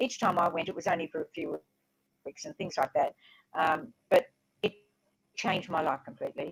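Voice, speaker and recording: A woman with an Australian accent at a fairly quick pace, broken by long, frequent pauses. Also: dry, close sound with no echo. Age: 80s+. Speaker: author and former teacher. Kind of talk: interview. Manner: halting, repeating words.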